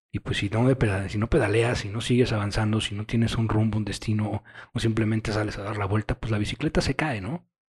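Speaking at a very fast pace with fairly even intonation, a man's fairly low voice comes through in a dry, close sound with no echo. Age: 30s. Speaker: podcaster and author. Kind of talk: casual monologue.

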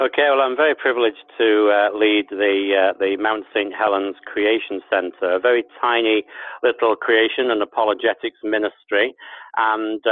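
A man at medium pitch with an English accent, fairly slow pace and ordinary pitch variation. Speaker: guest, leader of a creation ministry.

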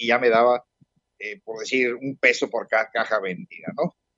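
The pace is moderate. Intonation is lively. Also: man. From Mexico, Puebla city. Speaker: retired businessman. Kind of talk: interview. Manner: halting.

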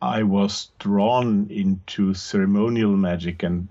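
A man with an Austrian accent speaks at a very slow pace and a fairly low pitch. The background is quiet. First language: German. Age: 50s. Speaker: podcast host and occult practitioner. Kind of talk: interview conversation.

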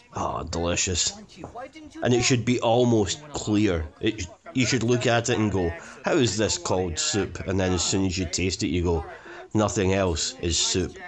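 Noticeable background noise sits behind a man with a Scottish accent. His voice is fairly low and his pace moderate. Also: ordinary pitch variation. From Scotland. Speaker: film commentary panelist. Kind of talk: casual chat.

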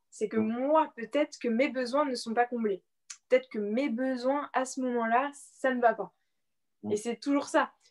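The delivery is fairly slow, with fairly even intonation. The sound is dry and close, without any echo. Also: woman, high pitch for a woman. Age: 20s. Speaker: blogger and personal development coach. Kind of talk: interview.

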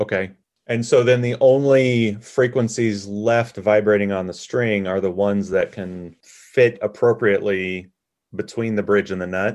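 In a normal speaking voice, a man talks at a fairly slow pace and a fairly low pitch with fairly even intonation over a quiet background. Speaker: podcast co-host. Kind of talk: educational podcast chat.

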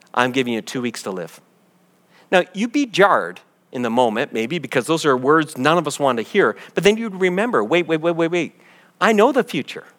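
On a very clean recording with a silent background, a man with a fairly high pitch talks at a fairly quick pace, his pitch swinging very widely. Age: 50s. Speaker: pastor. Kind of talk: sermon. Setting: church gathering.

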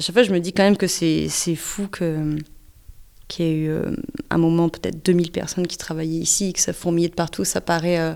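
The woman's voice sits at a fairly low pitch, with monotone, flat intonation. She keeps a moderate pace. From northern France, Pas-de-Calais mining basin. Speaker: musician and punk singer. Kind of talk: interview testimony.

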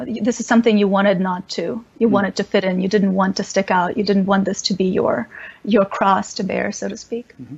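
Fairly quick, somewhat breathy delivery from a woman with ordinary pitch variation. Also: medium pitch for a woman. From Ukraine (Lviv), trilingual Russian/Polish/Ukrainian. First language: Russian/Polish. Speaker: spiritual teacher and religion scholar. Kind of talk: interview conversation.

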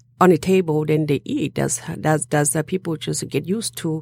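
A woman speaks with a Southeast Asian accent. Her voice is very deep and low. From Laos, Hmong. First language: Hmong. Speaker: restaurant owner. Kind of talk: interview.

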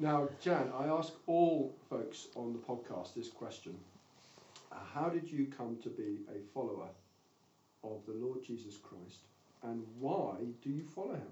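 A fairly high-pitched man with a British accent, speaking at a fairly slow pace with lively intonation and long, frequent pauses. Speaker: podcast host. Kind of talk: interview.

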